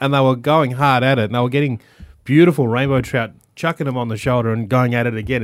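Speaking in an Australian accent, a man at medium pitch goes at a very fast pace. The recording is very clean, with a silent background. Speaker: radio host. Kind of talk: radio interview. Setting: studio.

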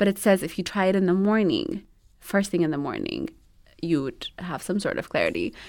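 A woman with an Ethiopian accent speaks at a fairly quick pace. Her medium-pitched voice shows very wide pitch swings. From Ethiopia, Addis Ababa. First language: Amharic. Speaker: animation studio assistant and new mother. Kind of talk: interview.

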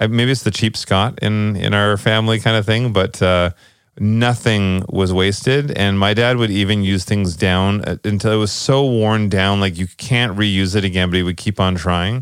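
A man in an ordinary speaking voice talks at a moderate pace and fairly low pitch, with fairly even intonation, very even loudness, and hardly any pauses. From Canada, British Columbia. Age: 30s. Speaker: podcast co-host. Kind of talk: casual chat.

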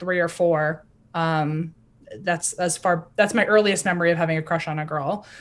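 With an American accent, a woman uses a plain, everyday voice at a fairly low pitch and a moderate pace. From US South. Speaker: podcaster. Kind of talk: interview.

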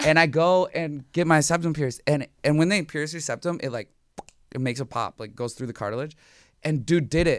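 On a very clean recording with a silent background, a man with an American accent speaks at a fairly quick pace with a fairly high pitch and ordinary pitch variation. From Minnesota. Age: 30s. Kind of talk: casual chat. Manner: animated.

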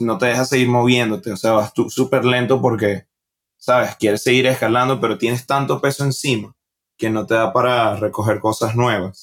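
Here a man speaks with a Venezuelan accent at a medium pitch. His pace is moderate and his intonation fairly even. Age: 20s. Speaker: stand-up comedian. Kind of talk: casual interview.

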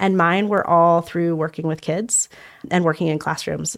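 A woman with a General American accent speaks at a fairly quick pace with ordinary pitch variation. She has an ordinary speaking voice, fairly low in pitch. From Denver, Colorado. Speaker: education nonprofit leader. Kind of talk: interview. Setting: studio.

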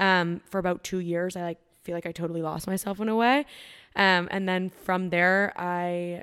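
With a Canadian accent and a normal speaking voice, a woman talks at a fairly low pitch with fairly even intonation on a very clean recording with a silent background. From Canada, Ontario. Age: 20s. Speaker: fitness influencer. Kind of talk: casual chat.

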